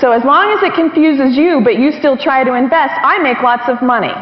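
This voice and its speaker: Over noticeable background noise, a woman with a high pitch speaks in an animated tone at a moderate pace. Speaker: investor and financial interviewer. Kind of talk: seminar talk.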